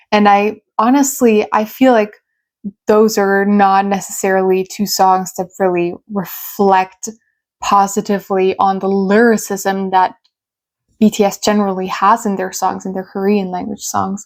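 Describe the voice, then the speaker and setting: On a very clean recording with a silent background, a woman with a German accent speaks at a medium pitch in a monotone, flat intonation at a fairly slow pace. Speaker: YouTuber and English tutor. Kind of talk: personal storytelling vlog. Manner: casual with fillers.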